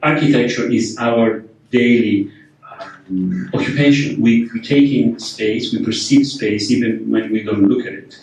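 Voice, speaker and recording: There is noticeable background noise as a man speaks in a non-native accent. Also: medium pitch for a man, ordinary pitch variation, fairly slow pace. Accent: foreign. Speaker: architect and workshop leader. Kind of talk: lecture. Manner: hesitant, many fillers and repetitions.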